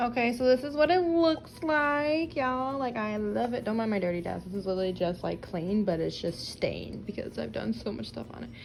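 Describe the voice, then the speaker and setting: Hardly any pauses break up this woman's fairly quick delivery. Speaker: crafting YouTuber. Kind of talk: tutorial. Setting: home workspace. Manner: fast; casual, filler-heavy.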